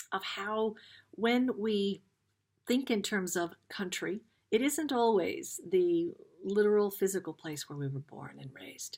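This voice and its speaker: In an ordinary speaking voice, a woman with an American accent talks at a fairly slow pace, her medium pitch moving with lively intonation and big swings in loudness. The recording is very clean, with a silent background. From US Midwest, Dayton, Ohio. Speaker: spiritual card reader. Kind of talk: card reading talk.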